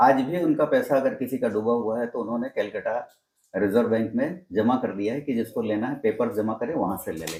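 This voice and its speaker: A man talks in an ordinary speaking voice of medium pitch. His pitch variation is ordinary. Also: moderate pace. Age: 60s. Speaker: network marketing veteran. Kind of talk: interview.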